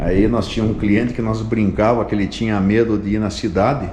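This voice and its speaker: Medium pitch and a moderate pace from a male speaker, amid noticeable background noise and audible room echo. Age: 60s. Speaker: vlogger, motorcyclist and agronomist. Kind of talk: casual travel vlog narration. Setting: museum.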